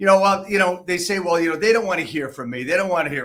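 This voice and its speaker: The speaker is a man with a high voice. He talks at a very fast pace. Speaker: real estate podcast host. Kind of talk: podcast host talk.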